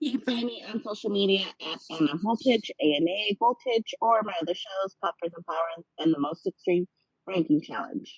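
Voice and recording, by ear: A put-on robotic character voice, female-sounding, medium in pitch and moderate in pace.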